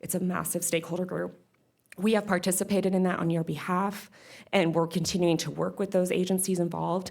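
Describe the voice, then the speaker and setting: Vocal fry runs through this woman's voice. She talks at a very fast pace. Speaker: legislative affairs staff presenter. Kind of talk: board meeting presentation. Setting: public board meeting. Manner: casual, with filler words.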